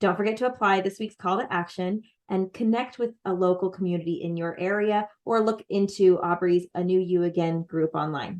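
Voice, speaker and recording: A woman with an American accent at medium pitch, moderate pace and fairly even intonation, with hardly any pauses. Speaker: podcast co-host. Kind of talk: podcast outro.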